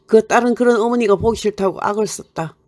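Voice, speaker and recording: A woman with a Gyeongsang accent speaks at a moderate pace in a dark, mellow tone. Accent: Gyeongsang dialect Korean. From Gyeongsang region, South Korea. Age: old. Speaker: poet. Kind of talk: short story reading.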